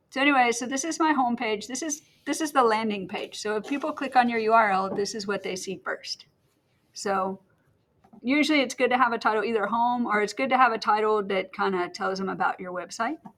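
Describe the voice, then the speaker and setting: This woman has an ordinary speaking voice, fairly high in pitch. She talks at a fairly quick pace with ordinary pitch variation. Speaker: teacher. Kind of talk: tutorial. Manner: casual.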